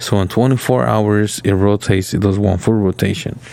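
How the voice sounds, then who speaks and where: A man with a fairly low voice talks at a moderate pace while noticeable noise fills the background. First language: not English. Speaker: podcast co-host. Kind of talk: casual chat. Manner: halting.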